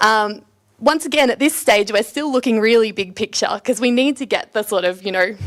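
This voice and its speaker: A woman's fairly high voice with an Australian accent and ordinary pitch variation. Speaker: PhD student giving talk. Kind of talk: presentation to students. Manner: loud.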